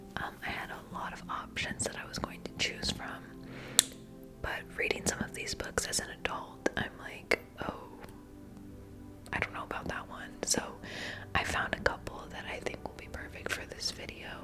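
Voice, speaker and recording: A whispered voice with long, frequent pauses plays over music in the background. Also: moderate pace. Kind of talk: casual talk to camera.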